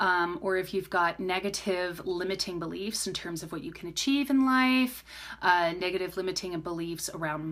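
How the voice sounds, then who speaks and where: On a very clean recording with a silent background, a woman with a medium pitch speaks at a moderate pace with ordinary pitch variation. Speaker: crystal healer and psychic medium. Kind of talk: live stream Q&A. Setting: live stream. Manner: hesitant, many fillers.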